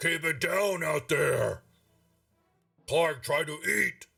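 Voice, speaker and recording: Using a put-on character voice, a man speaks very slowly in a gravelly, raspy, growling tone. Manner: gruff, annoyed.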